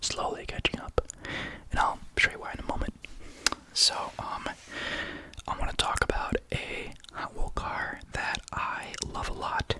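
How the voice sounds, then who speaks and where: Over noticeable background noise, a whispering voice moves at a fairly slow pace, broken by long, frequent pauses. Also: woman. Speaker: ASMR creator. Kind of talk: ASMR ramble to camera. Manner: whispered.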